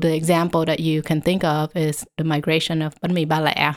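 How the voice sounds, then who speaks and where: Monotone, flat intonation and a Vietnamese accent come through on a very clean recording with a silent background. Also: woman. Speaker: professor. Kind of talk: interview.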